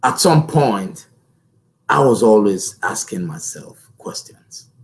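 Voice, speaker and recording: Very slowly, a man speaks with vocal fry at a medium pitch. His pitch swings very widely. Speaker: motivational speaker. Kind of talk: motivational talk. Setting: live stream. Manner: powerful, deliberate delivery.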